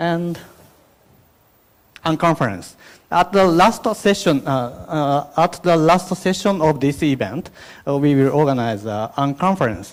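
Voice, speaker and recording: A man with a Japanese accent speaks at a fairly slow pace. The recording is very clean, with a silent background. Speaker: event host. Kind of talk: opening remarks at conference. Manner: halting, many fillers.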